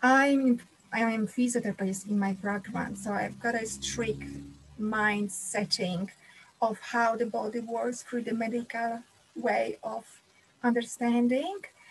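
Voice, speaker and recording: A woman's fairly high-pitched voice with a Polish accent, fairly slow and with fairly even intonation, over noticeable background noise. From Poland. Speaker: physiotherapist and wellness speaker. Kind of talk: live-streamed talk. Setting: online live stream. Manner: halting.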